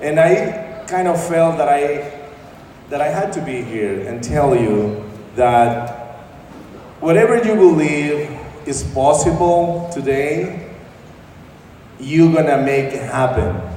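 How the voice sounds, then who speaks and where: A man with a Salvadoran accent speaks at a very slow pace and a fairly high pitch with lively intonation and long, frequent pauses, amid noticeable background noise and audible room echo. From El Salvador. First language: Spanish. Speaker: lawyer. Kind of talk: motivational speech. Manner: halting.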